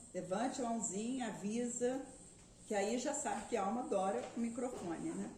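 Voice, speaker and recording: Recorded with audible room echo and noticeable background noise, a woman speaks at a moderate pace with a fairly high pitch and ordinary pitch variation. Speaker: spiritist lecturer. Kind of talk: lecture.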